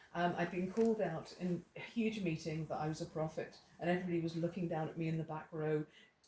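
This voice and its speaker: Speaking at a very fast pace with hardly any pauses, a woman with a fairly low pitch and a dark, mellow, somewhat breathy tone keeps her intonation fairly even. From Ireland. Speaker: Bible teacher. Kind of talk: testimony. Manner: halting.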